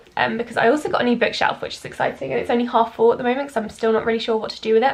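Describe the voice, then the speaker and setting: Noticeable background noise behind a woman with a fairly high pitch. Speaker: book vlogger. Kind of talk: casual vlog.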